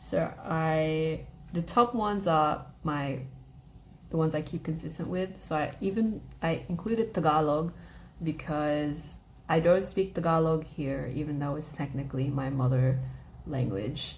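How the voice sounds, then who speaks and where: Amid audible room echo, a woman speaks at a fairly slow pace with a very deep, low pitch, vocal fry and ordinary pitch variation. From Australia. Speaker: vlogger, language learner. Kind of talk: casual chat. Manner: casual, many filler words.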